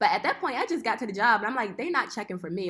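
A woman speaks with a Philadelphia accent. Her pace is very fast. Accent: Philadelphia American. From West Philadelphia. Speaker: apparel designer. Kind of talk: interview, casual chat.

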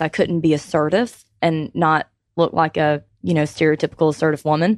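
In an American accent, a woman talks at a fairly quick pace and fairly low pitch, with a dry, close sound with no echo and a quiet background. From Georgia, US South. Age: 30s. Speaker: business consultant. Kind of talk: radio panel interview. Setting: radio studio.

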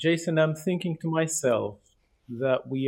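A man speaks at a fairly high pitch. His pace is very slow. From Canada, Toronto. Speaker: Bible study participant. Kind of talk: Bible study discussion. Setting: video call.

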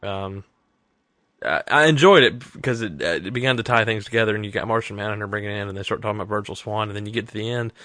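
Over a quiet background, a man speaks fairly quickly in a fairly low voice with a bright, sharp tone. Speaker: podcast co-host. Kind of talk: casual chat.

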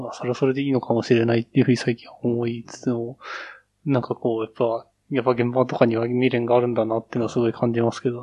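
A man talks very fast at a medium pitch. His intonation stays flat and monotone while his loudness swings widely. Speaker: office worker. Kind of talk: casual chat. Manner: casual, laughs often.

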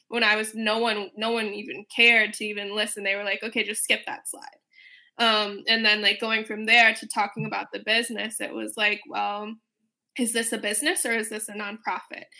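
A woman with an American accent, moderate pace and fairly even intonation. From Chicago, Illinois. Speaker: startup founder. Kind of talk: casual panel interview. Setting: remote video call.

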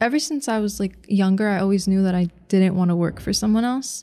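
A woman's dark, mellow voice with an American accent and ordinary pitch variation, on a very clean recording with a silent background. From New Jersey. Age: 19. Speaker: cleaning business co-owner. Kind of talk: casual interview. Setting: studio.

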